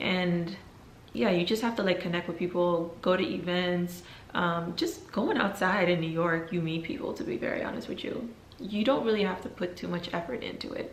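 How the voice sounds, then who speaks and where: A woman's fairly low voice with ordinary pitch variation, audible room echo and noticeable background noise. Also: moderate pace. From Netherlands and Belgium, Guinean family. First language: Fulani. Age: 20s. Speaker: YouTuber. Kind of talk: casual Q&A vlog.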